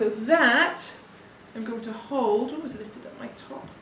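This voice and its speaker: A soft-spoken woman at a fairly high pitch and moderate pace, with audible room echo and noticeable background noise. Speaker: parent demonstrating baby carrying. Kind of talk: tutorial.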